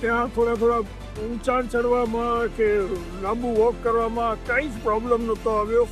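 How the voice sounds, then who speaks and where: A man's extremely high-pitched, monotone, flat delivery over music in the background. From Kutch, Gujarat, India. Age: 70s. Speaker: knee surgery patient. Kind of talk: patient testimonial.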